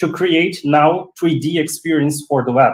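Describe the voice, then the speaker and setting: In a room with audible echo, a man speaks at a fairly slow pace in a fairly high voice. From Brazil. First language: Portuguese. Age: 40s. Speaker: 3D web designer; guest. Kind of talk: casual chat. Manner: halting. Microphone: video call.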